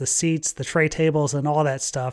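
The background stays quiet as a man talks at a fairly quick pace. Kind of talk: commentary. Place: home room. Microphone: studio mic.

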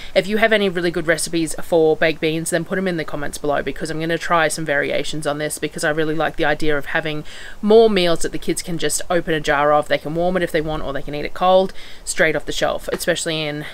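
A woman talks at a very fast pace in a fairly low voice. Her intonation stays fairly even. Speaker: homestead vlogger. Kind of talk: casual vlog chat. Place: open country. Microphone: phone near.

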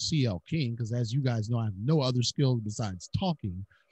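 Somewhat breathy, a man speaks at a moderate pace, the sound dry with no echo and the background quiet. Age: 40s. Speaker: podcast host. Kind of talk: interview. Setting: studio. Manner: animated. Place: home room. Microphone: studio mic.

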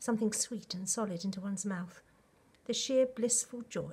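Reading in an unforced voice

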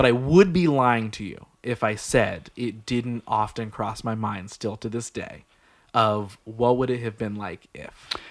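In a quiet background, a man talks at a fairly slow pace, with a medium pitch and ordinary pitch variation. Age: 30s. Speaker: podcast host. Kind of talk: casual interview chat. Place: studio. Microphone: studio mic.

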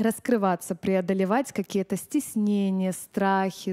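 The background stays quiet. A woman speaks fairly slowly. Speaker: vocal teacher giving seminar. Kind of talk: lecture. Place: hall. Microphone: headset.

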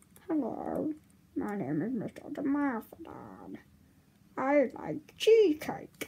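A woman uses a put-on character voice at a high pitch. She speaks at a very slow pace. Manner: goofy, comical.

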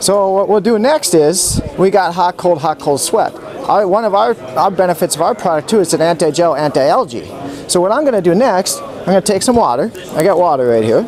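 A man with a high-pitched voice and an American accent, lively intonation and a fairly quick pace, crowd noise in the background. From Minnesota. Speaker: product demonstrator. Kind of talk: product demonstration. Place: hall.

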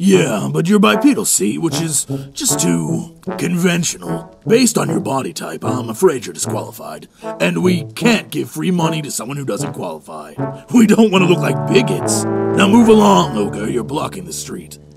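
A man puts on a character voice at a medium pitch and a moderate pace. Faint music plays in the background. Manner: officious, patronizing.

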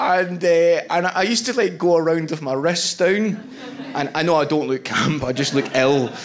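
With a Scottish accent, a man speaks at a moderate pace. His pitch is high, and there is light background noise. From Scotland. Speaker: stand-up comedian. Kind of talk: stand-up comedy set. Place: stage. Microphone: handheld.

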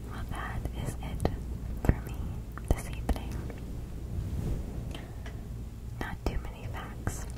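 A woman whispers in a gentle tone. Her pace is very slow. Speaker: ASMR creator. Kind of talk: soft-spoken educational ASMR. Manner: gentle whispered sign-off. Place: home room. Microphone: studio mic.

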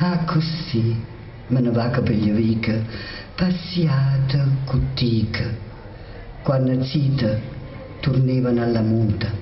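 A woman with a very deep, low pitch speaks at a very slow pace with long, frequent pauses. Audible room echo and light background noise are present. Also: ordinary pitch variation, very even loudness. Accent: Lazio. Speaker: poet. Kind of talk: poetry reading. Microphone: podium.

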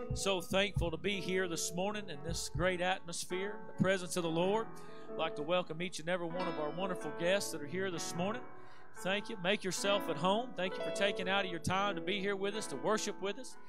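A high-pitched man speaks at a fairly quick pace with ordinary pitch variation. The sound is dry with no echo, and clear music plays in the background. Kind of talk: welcome and public prayer. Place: church.

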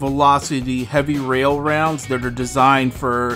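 A man talks with fairly even intonation. Faint music plays in the background. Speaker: toy reviewer. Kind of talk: product review commentary. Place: home room.

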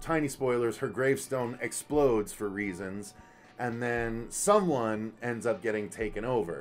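The speaker talks at a moderate pace while faint music plays in the background. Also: man. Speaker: movie review host. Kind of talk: review commentary. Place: home room.

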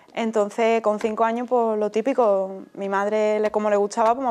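A woman talks at a fairly quick pace in a fairly high voice. Her intonation stays monotone and flat. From Andalusia, Spain (Utrera, Seville); Andalusia. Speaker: flamenco dancer; interviewee. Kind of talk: interview. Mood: calm, reflective. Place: studio.

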